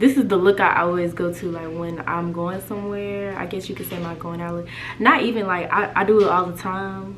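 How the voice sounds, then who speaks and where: A woman at medium pitch, fairly quick and fairly even in intonation, with big swings in loudness, audible room echo and noticeable background noise. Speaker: beauty vlogger. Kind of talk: casual vlog intro. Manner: fast.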